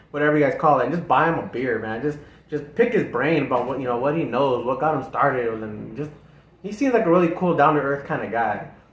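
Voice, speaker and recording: A somewhat breathy man speaks with lively intonation, and audible room echo surrounds his voice. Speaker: music reaction youtuber. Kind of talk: casual chat. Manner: halting.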